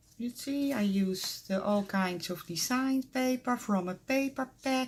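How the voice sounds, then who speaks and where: Here a woman with a Dutch accent talks at a very slow pace. Her pitch varies in an ordinary way. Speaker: crafter. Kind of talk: casual show-and-tell tutorial. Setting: craft room at home. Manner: halting, many fillers.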